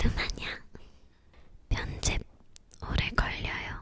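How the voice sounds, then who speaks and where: A whispering voice goes along at a very slow pace, with noticeable background noise behind it. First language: Romanian (speaking Korean). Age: 20s. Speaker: ASMR YouTuber. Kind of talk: casual Q&A chat. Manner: halting, searching for words.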